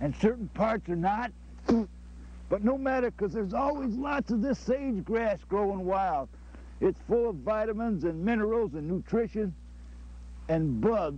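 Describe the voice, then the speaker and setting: A man's lively, rising-and-falling voice at a fairly slow pace, with long, frequent pauses and a dry, echo-free sound. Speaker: comic outdoorsman host. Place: open country.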